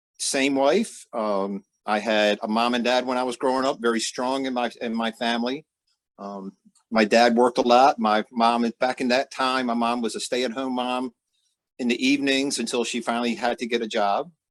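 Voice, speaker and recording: A man with a plain, everyday voice speaks at a medium pitch. The recording is very clean and dry, close with no echo, and the background is silent. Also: fairly even intonation, moderate pace. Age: 60s. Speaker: father interviewed on podcast. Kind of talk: interview.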